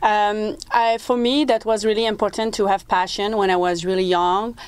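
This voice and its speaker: A woman with a French-Canadian accent speaks at a medium pitch and a moderate pace, with ordinary pitch variation. The recording is very clean with a silent background. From Quebec, small French-speaking town. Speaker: motivational speaker, former motorcycle racer. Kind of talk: TV interview.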